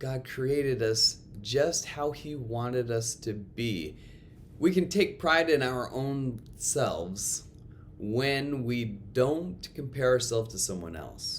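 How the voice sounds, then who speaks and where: With audible room echo around him, a man speaks very slowly at medium pitch with lively intonation. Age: 30s. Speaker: school chapel speaker and coach. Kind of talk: chapel talk. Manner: loud.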